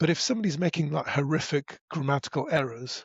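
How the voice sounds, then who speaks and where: Pitched fairly high, a man talks at a fairly quick pace in a somewhat breathy voice with ordinary pitch variation. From northern England, Derbyshire. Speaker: broadcaster and podcast voice. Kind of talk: casual chat. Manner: hesitant, many restarts.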